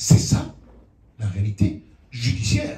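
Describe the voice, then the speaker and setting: Amid noticeable background noise and audible room echo, a man talks in an animated tone. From outside France. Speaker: lawyer. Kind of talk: public talk. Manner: halting.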